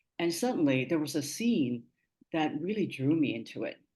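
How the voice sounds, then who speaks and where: A woman with a Cantonese accent speaks at a very deep, low pitch against a quiet background. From Hong Kong. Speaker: media producer and journalist. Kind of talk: webinar talk. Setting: online webinar.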